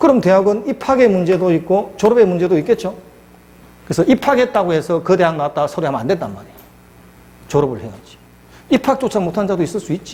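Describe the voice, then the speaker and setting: Lively in intonation, a man speaks very fast at a high pitch, yet with long, frequent pauses. His tone is dark and mellow. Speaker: law lecturer. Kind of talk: lecture.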